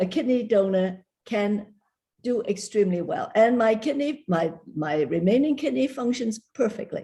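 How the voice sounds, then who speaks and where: A woman's fairly high, somewhat breathy voice with a dark, mellow tone and lively intonation. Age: 80s+. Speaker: kidney donor. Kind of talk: panel discussion.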